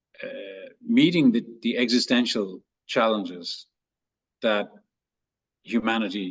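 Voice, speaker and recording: A man talks at a very slow pace. His pitch is medium. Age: 60s. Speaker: transformation coach. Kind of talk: interview. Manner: hesitant, repeats words.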